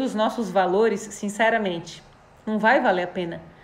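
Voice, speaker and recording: A woman talks at a moderate pace in a warm, animated tone, with audible room echo and noticeable background noise. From Florianópolis, southern Brazil. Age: 30s. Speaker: live stream host. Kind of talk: live stream chat with viewers.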